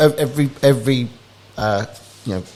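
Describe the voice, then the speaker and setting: A man's speech has ordinary pitch variation, heard against noticeable background noise. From England (London area). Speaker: startup founder. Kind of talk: podcast interview. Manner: casual, with many fillers and restarts.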